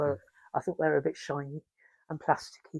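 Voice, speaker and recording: A woman with an English accent, in a dry, close sound with no echo. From England. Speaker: installation artist. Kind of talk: interview answer.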